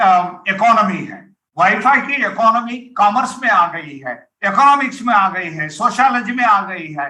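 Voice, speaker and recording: A man's voice is raised and projected. Its pitch runs high. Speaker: university vice-chancellor, Hindi professor. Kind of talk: formal speech at academic launch event. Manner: halting, with fillers.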